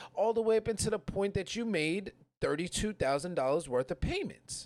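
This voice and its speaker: A man with a New York accent, animated tone and lively intonation, on a very clean recording with a silent background. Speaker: podcast host. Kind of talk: casual chat. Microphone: poor audio.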